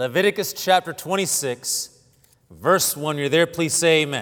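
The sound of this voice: Lively in intonation, a man speaks with a fairly high pitch and a fairly bright tone.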